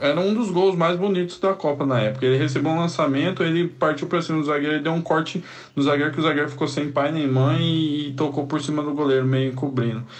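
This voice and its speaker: The voice moves at a fairly quick pace with very even loudness. Audible room echo and noticeable background noise fill the recording. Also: man. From Cuiabá, Brazil. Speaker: samba musician. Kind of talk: recorded voice memo.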